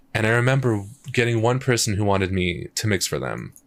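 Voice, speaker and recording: Pitch varies an ordinary amount as this man talks fairly quickly. Very clean recording, silent background. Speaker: streamer and music producer. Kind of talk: casual livestream chat. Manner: casual, halting with fillers.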